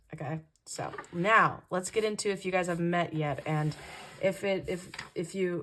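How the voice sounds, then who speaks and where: In a put-on character voice, a woman speaks at a moderate pace with a raspy sound and medium pitch. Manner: loud, shouting.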